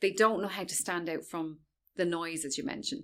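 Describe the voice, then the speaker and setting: In an Irish accent, a woman speaks at a fairly quick pace on a very clean recording with a silent background. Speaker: social media expert. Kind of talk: interview. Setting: in-person interview.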